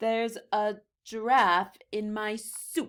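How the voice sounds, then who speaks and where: Using a put-on character voice, a woman speaks fairly high and at a very slow pace. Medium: read story.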